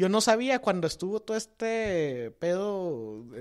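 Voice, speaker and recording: A man's high-pitched voice with very wide pitch swings, on a very clean recording over a silent background. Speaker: political podcast co-host. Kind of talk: casual political discussion.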